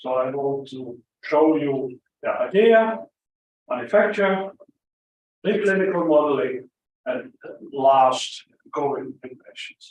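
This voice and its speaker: Speaking at a very slow pace with long, frequent pauses, a man uses a fairly high pitch, lively intonation and big swings in loudness. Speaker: physician and company head. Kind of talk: conference talk. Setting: conference hall without microphone.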